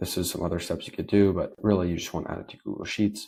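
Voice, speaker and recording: Very fast delivery from a man, pitch varying in the ordinary way. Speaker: automation tutorial creator. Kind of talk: screen-share tutorial. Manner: casual, filler-heavy.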